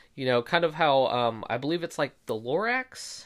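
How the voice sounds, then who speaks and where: The delivery has lively intonation. The pace is moderate. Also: man, very clean recording, silent background. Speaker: solo podcast host. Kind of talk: casual solo commentary. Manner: hesitant, many fillers.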